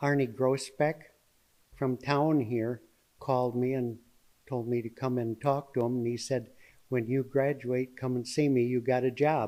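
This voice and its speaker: A man with an Upper Midwest accent speaks at a fairly slow pace and medium pitch. His tone is dark and mellow, his intonation monotone and flat. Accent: Upper Midwest (Minnesota). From Minnesota, near Zumbrota. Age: 70s. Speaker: retired master electrician and farmer. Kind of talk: casual interview. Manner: halting, many fillers.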